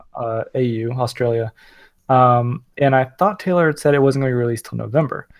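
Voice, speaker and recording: The pace here is fairly quick. It is an unremarkable speaking voice, and its pitch varies in an ordinary way. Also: man, medium pitch for a man. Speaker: podcast co-host and developer. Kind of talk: casual chat.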